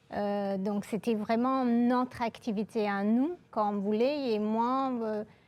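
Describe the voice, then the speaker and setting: Against a very clean recording with a silent background, a woman speaks at a very slow pace with hardly any pauses. Her fairly high voice has fairly even intonation and a slight English accent. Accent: slight English-speaking accent in French. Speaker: engineer and aerospace program director. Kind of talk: interview. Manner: hesitant, many filler sounds.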